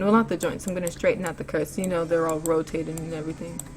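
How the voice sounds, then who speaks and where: A woman speaks with a fairly low pitch. Music plays in the background. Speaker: animation tutorial youtuber. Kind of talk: tutorial. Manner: casual.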